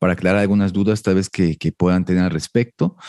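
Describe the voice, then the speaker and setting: A man's dark, mellow voice, dry and close with no echo, over a quiet background. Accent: Mexican. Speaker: fitness podcast host. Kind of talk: casual interview.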